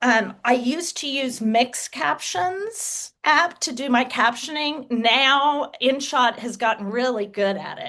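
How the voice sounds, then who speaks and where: A woman with a Texas accent talks at a very slow pace with hardly any pauses, using lively intonation, a high pitch, a bright, sharp tone and big swings in loudness. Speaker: author and social media creator. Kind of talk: interview.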